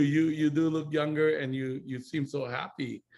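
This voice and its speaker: Speaking with a Hawaiian accent, a man with a fairly high voice keeps his intonation fairly even. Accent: Hawaiian American English. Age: 60s. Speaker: network marketing business mentor. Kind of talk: casual chat.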